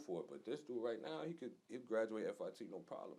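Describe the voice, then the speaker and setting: The man speaks at a very fast pace in a New York accent. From New York, Long Island. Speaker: fashion designer, clothing brand co-founder. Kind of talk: casual interview.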